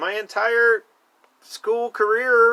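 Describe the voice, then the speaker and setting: Very slowly, a man speaks in an extremely high pitch with a raised, projected voice, the sound dry and close with no echo. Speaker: vlogger. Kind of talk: casual monologue. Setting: storage unit. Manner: animated.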